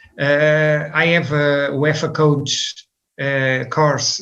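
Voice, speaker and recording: A man speaks with a Portuguese accent. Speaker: football coach. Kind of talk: interview. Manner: halting, many fillers.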